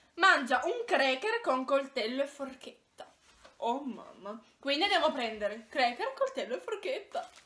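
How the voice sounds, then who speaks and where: A woman uses a raised, projected voice at a fairly slow pace, her pitch swinging very widely. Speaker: video host. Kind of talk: casual vlog chat. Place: home room. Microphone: phone near.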